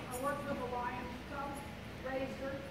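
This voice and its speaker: A woman is heard with audible room echo over loud background noise. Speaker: presenter. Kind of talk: presentation talk to audience. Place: hall.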